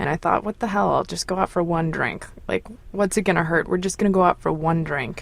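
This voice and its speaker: A woman with an American accent, fairly low in pitch, with fairly even intonation and noticeable background noise. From United States. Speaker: caller telling a personal story. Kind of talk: personal storytelling.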